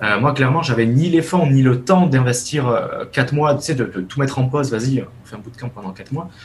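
A somewhat breathy man speaks at a fairly quick pace in a medium pitch with ordinary pitch variation. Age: 20s. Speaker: web developer. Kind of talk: casual interview.

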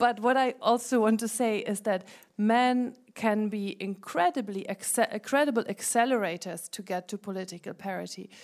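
A woman with a German accent talks at a fairly high pitch with hardly any pauses on a very clean recording with a silent background. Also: ordinary pitch variation, moderate pace. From Germany. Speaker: founder of a women political leaders network, former parliamentarian. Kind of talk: panel debate.

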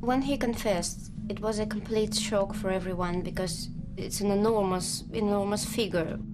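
Noticeable background noise sits behind a woman of medium pitch. She talks at a moderate pace with fairly even intonation and hardly any pauses. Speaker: investigative journalist. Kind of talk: documentary interview.

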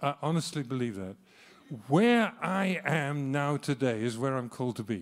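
On a very clean recording with a silent background, a man speaks at a fairly slow pace with very wide pitch swings. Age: 70s. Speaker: missionary. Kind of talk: sermon. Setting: church.

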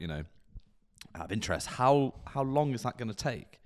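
A man with an English accent talks at a fairly quick pace in a medium pitch, with vocal fry and very wide pitch swings. The recording is very clean, with a silent background. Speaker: podcast co-host. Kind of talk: casual chat. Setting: studio.

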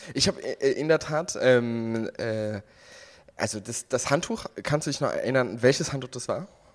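A man speaks at a fairly slow pace with lively intonation and a medium pitch, recorded very cleanly against a silent background. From Germany, Westerwald. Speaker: podcast co-host. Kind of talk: casual chat.

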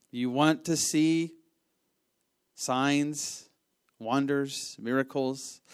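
A man with an American accent at a fairly high pitch, very slow and fairly even, with long, frequent pauses on a very clean recording with a silent background. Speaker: church minister. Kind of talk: sermon.

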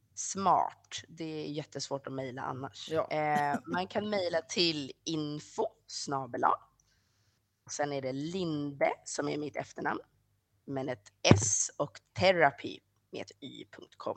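A woman speaks at a very slow pace with a very deep, low pitch and big swings in loudness. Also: ordinary pitch variation. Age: 30s. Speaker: sexology student. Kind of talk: interview.

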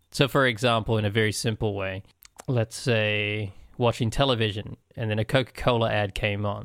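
A man talks at a fairly quick pace in a plain, everyday voice with a fairly low pitch. The sound is dry and close, with no echo. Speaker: podcast co-host. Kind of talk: casual chat.

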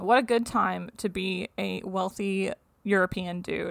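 A woman speaks at a very slow pace and a medium pitch, with vocal fry. The recording is very clean, with a silent background. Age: 30s. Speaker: science podcast host. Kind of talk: casual chat.

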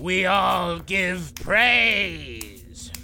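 A man uses a raspy, put-on character voice. Clear background noise can be heard. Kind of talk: pompous courtroom proclamation.

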